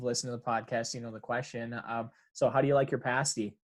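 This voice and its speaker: A man talks in a strong Upper Michigan accent at a medium pitch, with fairly even intonation. The recording is very clean, with a silent background. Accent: thick Yooper. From Upper Peninsula of Michigan, Kingsford. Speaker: podcast host. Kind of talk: casual interview chat. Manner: casual, many fillers.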